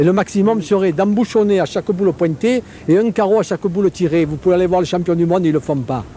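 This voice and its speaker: A man's high voice rushes along at a very fast pace, its pitch varying in an ordinary way. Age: 60s. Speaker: pétanque official interviewed. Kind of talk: interview. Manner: animated.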